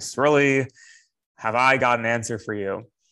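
A booming put-on character voice moves along at a moderate pace. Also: man, medium pitch for a man. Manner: grand, authoritative.

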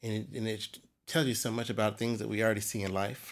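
A man with an American accent speaks fairly quickly in a fairly low voice. The recording is very clean, with a silent background. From US military bases, mostly Germany. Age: 50s. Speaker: Freemason. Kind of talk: casual interview. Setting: lodge library. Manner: halting.

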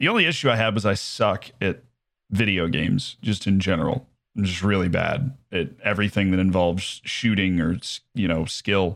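With an American accent, a man talks at a moderate pace and fairly low pitch with ordinary pitch variation, in a plain, everyday voice. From United States. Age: 20s. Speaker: football manager streamer and aspiring sports broadcaster. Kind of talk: casual chat.

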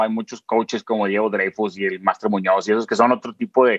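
Over a quiet background, a man talks in an ordinary speaking voice at a fairly quick pace with lively intonation, the sound dry and close with no echo. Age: 30s. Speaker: content creator. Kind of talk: interview.

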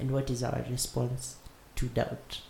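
Somewhat breathy, this man speaks in a dark, mellow tone. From Kenya. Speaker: podcast host. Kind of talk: casual chat.

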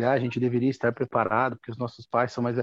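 A man talks at a medium pitch. The sound is dry and close with no echo, over a quiet background. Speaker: audience participant. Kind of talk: question in a live video chat. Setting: video call. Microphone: connected by mobile phone.

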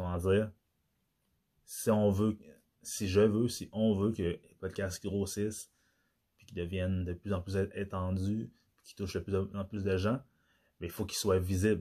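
A man talks at a fairly slow pace in a fairly low pitch, with a dark, mellow tone and monotone, flat intonation. Long, frequent pauses and big swings in loudness mark the speech, and the recording is very clean with a silent background. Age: 30s. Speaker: podcast host. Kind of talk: solo monologue podcast. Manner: halting.

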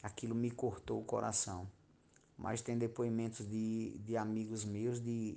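A man's fairly low, dark, mellow voice in monotone, flat intonation at a fairly slow pace. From Bahia, Brazil (Miguel Calmon). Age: 40s. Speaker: schoolteacher. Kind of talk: interview.

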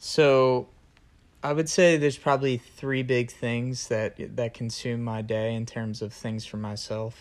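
Here is a man with a normal speaking voice at medium pitch. He keeps a moderate pace and fairly even intonation. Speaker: college student, host's boyfriend. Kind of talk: casual chat.

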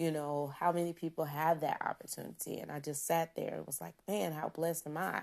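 This woman's pitch is very deep and low, with fairly even intonation. She speaks with hardly any pauses. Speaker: podcast host and confidence coach. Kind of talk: casual monologue. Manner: lower and slower than usual.

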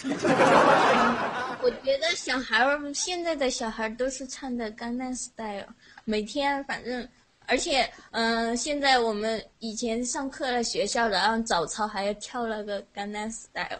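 Speaking with a Sichuan accent, a woman uses a high pitch with ordinary variation at a fairly slow pace. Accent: Sichuan accent in Mandarin. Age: 20s. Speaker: teacher, caller. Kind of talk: casual chat.

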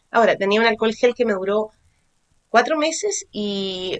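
Here a woman speaks with a Chilean accent at a fairly high pitch. Her intonation is lively, and her pace is moderate. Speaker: podcast co-host. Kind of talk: casual chat. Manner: animated.

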